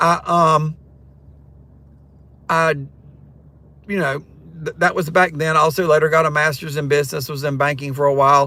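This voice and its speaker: A man with a Southern US accent, fairly high-pitched, bright and sharp in tone, flat and monotone, with long, frequent pauses. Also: moderate pace. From North Carolina, Siler City. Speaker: rideshare driver and retired teacher doing a livestream. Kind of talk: casual livestream chat. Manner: hesitant, many ums and restarts.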